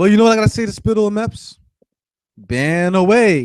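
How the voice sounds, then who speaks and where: A man is shouting at a fairly quick pace, recorded with a dry, close sound and no echo. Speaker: gaming live streamer. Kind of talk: angry live stream rant. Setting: live stream. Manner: yelling; repetitive, stammering.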